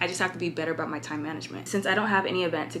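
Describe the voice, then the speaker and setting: Over noticeable background noise, a woman with an American accent speaks in an animated tone at a fairly low pitch with ordinary pitch variation. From California. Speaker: fashion influencer vlogger. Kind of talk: casual vlog. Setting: hotel room.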